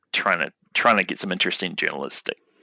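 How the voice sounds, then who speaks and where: This man speaks at a very fast pace. He has a New Zealand accent. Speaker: market researcher. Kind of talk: podcast interview. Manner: halting, many fillers and repetitions.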